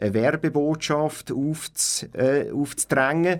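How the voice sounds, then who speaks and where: A man speaks at a very slow pace with ordinary pitch variation. The recording is very clean, with a silent background. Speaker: community radio co-founder and engineer. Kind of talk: interview. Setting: radio studio. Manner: halting.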